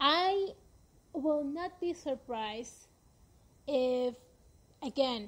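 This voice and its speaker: With a Spanish accent, a woman speaks very slowly in a high pitch, using lively intonation and long, frequent pauses. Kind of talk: podcast monologue. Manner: slow reading numbers.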